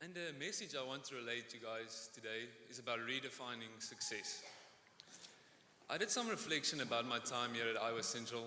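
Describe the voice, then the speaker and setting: A man speaks at a fairly quick pace and medium pitch with a slight South African accent. Audible room echo can be heard. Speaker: student speaker. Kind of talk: commencement speech.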